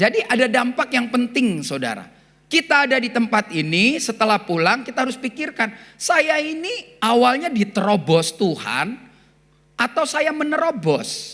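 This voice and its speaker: Her high voice swings very widely in pitch as this woman talks at a moderate pace. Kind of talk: sermon.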